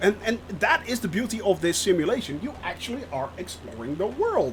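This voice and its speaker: This speaker has a Dutch accent and an animated tone at a moderate pace. Noticeable background noise runs underneath. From Netherlands. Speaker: gaming streamer. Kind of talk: live stream commentary. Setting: live stream. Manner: frequent hesitations.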